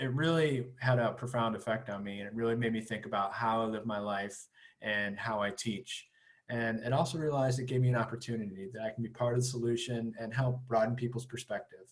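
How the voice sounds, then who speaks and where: A somewhat breathy man at a fairly quick pace. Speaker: high school teacher. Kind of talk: presentation to parents on video call. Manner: fast.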